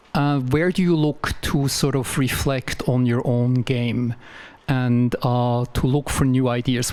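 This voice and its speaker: A man with a Swiss accent speaks at a medium pitch. His intonation stays fairly even. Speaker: audience member asking a question. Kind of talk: audience question at a public talk. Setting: library lecture hall with audience.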